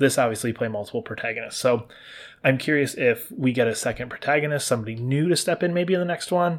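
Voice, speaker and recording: A man talks fairly quickly, on a very clean recording with a silent background. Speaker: gaming podcast host. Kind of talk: solo spoiler discussion. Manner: fast.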